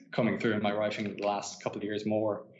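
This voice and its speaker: A man speaks with an Irish accent. There is audible room echo. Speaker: author. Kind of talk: casual chat. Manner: halting.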